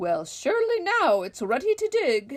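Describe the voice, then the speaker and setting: A woman performs a put-on character voice at a high pitch with very wide pitch swings. Her pace is moderate. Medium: read story. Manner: whiny, complaining.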